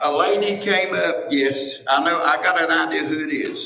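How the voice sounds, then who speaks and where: A man with an Appalachian accent speaks amid audible room echo. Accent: Appalachian Southern US. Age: 70s. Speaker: landfill convenience center worker. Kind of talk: public comment at county meeting.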